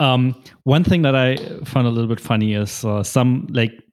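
An unremarkable speaking voice from a man, moderate in pace, with ordinary pitch variation and a dry, close sound with no echo. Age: 30s. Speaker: podcast host. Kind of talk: casual interview chat.

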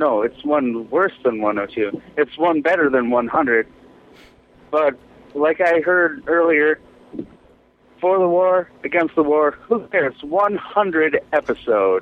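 A man's fairly high voice with lively intonation at a slow pace

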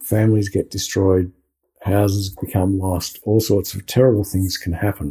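In an Australian accent, a man with a fairly low pitch and a dark, mellow, somewhat breathy tone speaks at a moderate pace with monotone, flat intonation. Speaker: podcast co-host. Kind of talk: interview conversation. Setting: video call.

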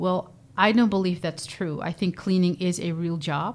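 A woman with a Dutch accent speaks at a moderate pace in a fairly low voice. Her intonation stays flat and monotone. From Netherlands, Zeeland (Vlissingen). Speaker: nonprofit director and entrepreneur. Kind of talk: interview. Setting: studio. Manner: hesitant, many fillers.

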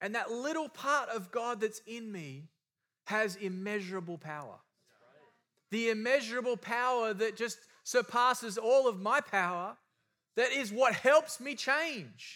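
In a very clean recording with a silent background, a man with an Australian accent uses a raised, projected voice of extremely high pitch and a bright, sharp tone, speaking at a fairly slow pace with lively intonation and big swings in loudness. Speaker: preacher. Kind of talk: sermon.

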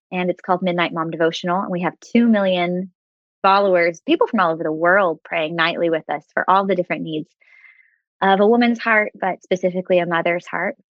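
An unremarkable speaking voice with an American accent, a fairly quick pace and fairly even intonation. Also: woman, fairly low pitch for a woman. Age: 30s. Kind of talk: faith podcast interview, testimony and teaching.

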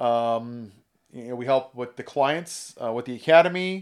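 A man with an American accent speaks in a normal speaking voice at medium pitch and a moderate pace, his intonation lively, on a very clean recording with a silent background. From California. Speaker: business partner and operations manager. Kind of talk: casual chat.

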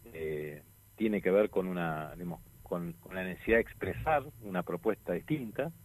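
This man's very deep, low voice makes very wide pitch swings at a moderate pace. His loudness swings widely too. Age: 50s. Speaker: lawyer and political candidate. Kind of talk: radio interview.

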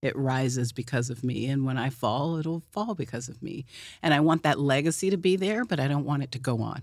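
On a very clean recording with a silent background, a woman with a very deep, low voice and an American accent speaks at a fairly quick pace. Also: ordinary pitch variation. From Oklahoma City, US. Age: 50s. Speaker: founder of empowerment movement. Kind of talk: casual chat. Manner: halting, repeats words.

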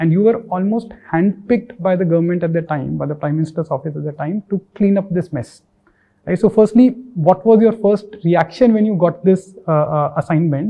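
Here a man with a high pitch speaks at a moderate pace with ordinary pitch variation. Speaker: podcast host. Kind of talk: interview.

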